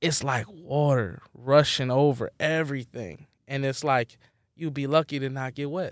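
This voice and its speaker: A man with an American accent, a plain, everyday voice, a fairly high pitch, fairly even intonation, and a fairly slow pace. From Philadelphia, US. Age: 30s. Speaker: musical artist. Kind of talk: casual interview chat.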